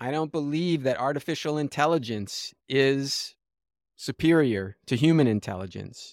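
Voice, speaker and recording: A man with an American accent and an unremarkable speaking voice, fairly high in pitch, at a moderate pace with ordinary pitch variation, on a very clean recording with a silent background. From US West Coast (Los Angeles). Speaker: systems scientist and finance entrepreneur. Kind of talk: interview conversation.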